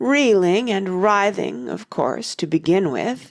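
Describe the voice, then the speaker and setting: A female-sounding put-on character voice, raspy and at middle pitch. The pace is fairly slow. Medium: audio drama. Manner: mournful, sighing.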